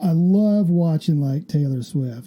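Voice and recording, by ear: Speaking slowly with lively intonation, a man has a dark, mellow tone and a fairly high pitch.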